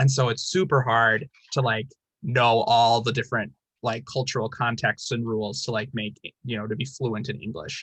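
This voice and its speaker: In an American accent, a man with an ordinary speaking voice talks at a moderate pace and medium pitch, using ordinary pitch variation. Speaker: teacher and video host. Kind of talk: casual chat.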